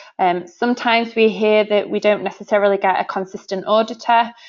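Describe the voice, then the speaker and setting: The speaker moves at a fairly quick pace in a Yorkshire accent. The intonation stays fairly even. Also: woman. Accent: northern English (Yorkshire). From northern England, Sheffield, Yorkshire. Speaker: sales director. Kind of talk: webinar presentation. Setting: online webinar. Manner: hesitant, many fillers.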